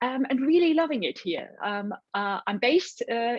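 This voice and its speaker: She speaks at a moderate pace. Her pitch variation is ordinary. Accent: German. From Germany. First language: German. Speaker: nutritionist. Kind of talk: interview.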